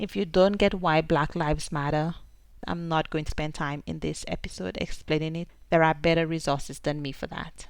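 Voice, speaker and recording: A woman's very deep, low voice in a St. Lucian accent, at a moderate pace with ordinary pitch variation and a quiet background. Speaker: podcast host. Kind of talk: podcast monologue.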